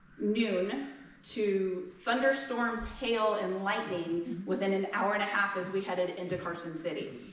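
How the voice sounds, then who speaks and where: A woman with a medium pitch speaks at a fairly slow pace. Noticeable background noise and audible room echo surround her voice. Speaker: pony express reride rider. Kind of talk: panel discussion. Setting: museum lecture with audience. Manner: loud.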